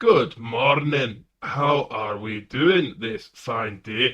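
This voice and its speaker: This man uses a put-on character voice at a medium pitch. He talks at a very slow pace. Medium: actual play. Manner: stilted, awkwardly polite.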